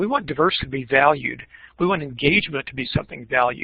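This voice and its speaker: A man speaks at a very fast pace with lively intonation. Vocal fry runs through his voice. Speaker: teacher education professor. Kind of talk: keynote presentation.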